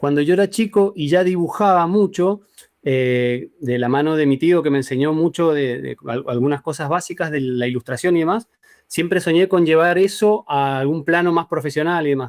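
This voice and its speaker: In a dry, close sound with no echo, a man with an Argentine accent speaks at a moderate pace. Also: fairly high pitch for a man, ordinary pitch variation. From Argentina, Mendoza. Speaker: graphic designer. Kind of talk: interview. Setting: video call. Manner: halting.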